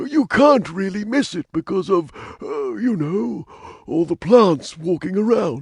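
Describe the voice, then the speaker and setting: Using a put-on character voice, a man talks high-pitched at a fairly slow pace. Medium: video game. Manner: folksy, rambling.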